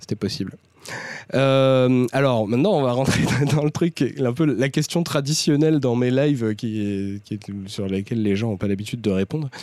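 Noticeable background noise sits behind a man who speaks at a medium pitch and moderate pace with ordinary pitch variation. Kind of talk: live stream discussion. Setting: online live stream. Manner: hesitant, many filler sounds.

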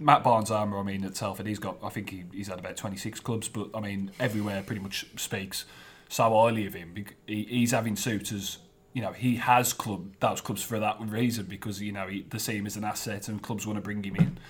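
Here is a man with a plain, everyday voice and a fairly low pitch. He talks at a fairly quick pace with fairly even intonation. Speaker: football journalist. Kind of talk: casual chat.

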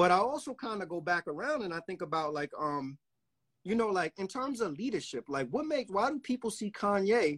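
Very wide pitch swings stand out on a very clean recording with a silent background. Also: man, high pitch for a man, fairly quick pace, dry, close sound with no echo. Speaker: podcast host. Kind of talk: casual chat.

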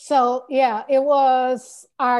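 A woman with a high pitch and an American accent, against a quiet background. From Chicago South Side, US. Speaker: guest. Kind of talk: casual chat.

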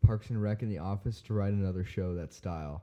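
With an American accent, the speaker talks at a fairly quick pace in a dark, mellow tone, with ordinary pitch variation over a quiet background. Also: man. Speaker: drummer. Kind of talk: casual chat. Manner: loud.

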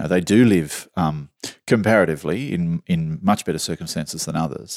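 In a dry, close recording with no echo, a man with an Australian accent speaks at a moderate pace in a very deep, low voice with ordinary pitch variation. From Australia, southwestern Sydney. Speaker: journalist. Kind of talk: casual chat.

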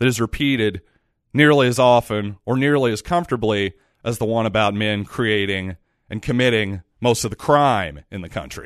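At a moderate pace, a man speaks in an unremarkable speaking voice at medium pitch with lively intonation, over a quiet background with a dry, close sound and no echo. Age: 30s. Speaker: podcast host. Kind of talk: solo podcast monologue. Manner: casual, conversational.

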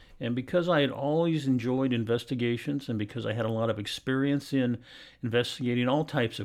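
Someone speaks at a fairly quick pace with ordinary pitch variation against a quiet background. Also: man. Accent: Pacific Northwest. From Portland, Oregon. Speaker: private investigator, retired police captain. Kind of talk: interview.

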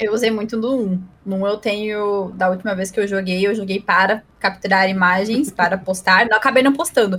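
A woman with an ordinary speaking voice talks at a moderate pace, barely pausing. Her pitch sits in the medium range, and her intonation stays fairly even. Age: 20s. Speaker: advertising professional and streamer. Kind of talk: casual chat.

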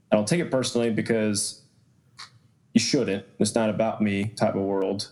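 Through noticeable background noise, a man with an American accent talks at a fairly quick pace. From Atlanta, Georgia, US South. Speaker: athletic trainer and strength coach. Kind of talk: casual interview chat.

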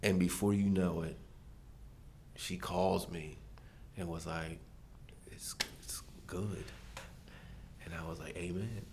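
Using long, frequent pauses, a man with an American accent speaks with a very deep, low pitch and fairly even intonation. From Maryland, US. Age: 40s. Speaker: church member sharing testimony. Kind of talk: testimony. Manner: casual.

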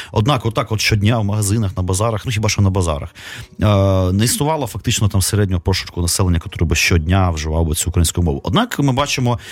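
Talking at a very fast pace, a man with a fairly low pitch sounds somewhat breathy, keeping very even loudness and lively intonation. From Kyiv, Ukraine. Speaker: radio host. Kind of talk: casual chat. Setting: studio.

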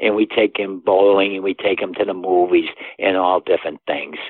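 A man is speaking. He has a Boston accent. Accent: Boston-area New England. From US Northeast, Massachusetts. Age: 80s+. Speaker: endurance athlete and father. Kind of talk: interview.

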